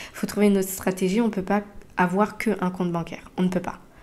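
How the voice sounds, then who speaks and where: A woman speaks at a medium pitch. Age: 30s. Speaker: podcaster. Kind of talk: solo podcast monologue. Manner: halting with many fillers.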